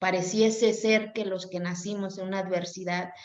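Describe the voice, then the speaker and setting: A woman speaks at a fairly slow pace and medium pitch with fairly even intonation. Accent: Oaxacan. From Mexico, Oaxaca mountain Zapotec community. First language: Zapotec (speaking Spanish). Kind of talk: interview.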